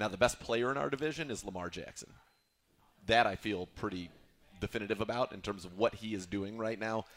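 A man talks at a fairly quick pace with a fairly low pitch, an ordinary speaking voice. His loudness swings widely, while his pitch varies in an ordinary way. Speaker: radio host. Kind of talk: casual sports talk.

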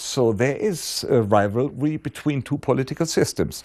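Lively intonation marks this fairly slow speech in a German accent. The background is quiet. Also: man. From Germany. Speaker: professor. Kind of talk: interview. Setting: his institute office. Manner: halting.

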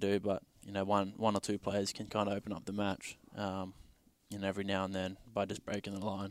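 With an Australian accent, a man speaks fairly quickly at a fairly low pitch in monotone, flat intonation, in a very clean recording with a silent background. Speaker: football player. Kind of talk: casual interview.

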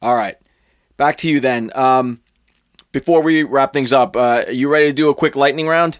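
A man with a fairly high pitch talks at a moderate pace, leaving long, frequent pauses. His loudness is very even, his intonation fairly even, and the recording very clean with a silent background. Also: dry, close sound with no echo. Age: 40s. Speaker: podcast host. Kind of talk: interview.

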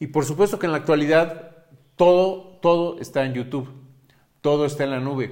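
A man speaks at a moderate pace with fairly high pitch and ordinary pitch variation. He leaves long, frequent pauses. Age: 50s. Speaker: parenting podcaster. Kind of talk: monologue podcast. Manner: hesitant fillers.

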